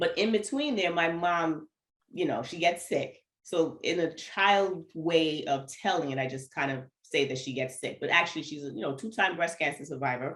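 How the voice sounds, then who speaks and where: With an American accent, a woman talks at a moderate pace in a fairly low pitch. Her tone is animated, with ordinary pitch variation. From New York, Antiguan family. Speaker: runner, educator and speaker. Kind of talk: casual interview chat.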